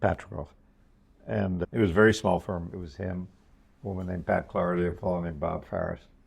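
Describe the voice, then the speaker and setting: Very fast male speech, very deep and low in pitch, with normal pitch movement. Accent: American. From New York. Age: 80s+. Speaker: venture capitalist. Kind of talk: interview. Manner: halting.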